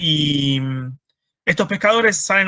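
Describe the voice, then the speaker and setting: A bright, sharp tone with ordinary pitch variation, in a dry, close sound with no echo. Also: man. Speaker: marine biologist. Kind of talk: lecture. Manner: fast; hesitant with fillers.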